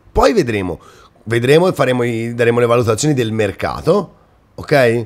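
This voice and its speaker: A man speaks at a fairly quick pace with an animated tone. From Italy, Romagna (Rimini), later Tuscany; Romagna, Italy. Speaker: football YouTuber. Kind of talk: casual monologue to viewers. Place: home room. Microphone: webcam.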